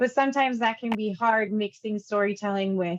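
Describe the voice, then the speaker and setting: A woman with a normal speaking voice and a fairly high pitch talks at a fairly quick pace with fairly even intonation, the sound dry and close with no echo. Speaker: course instructor. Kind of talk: lecture.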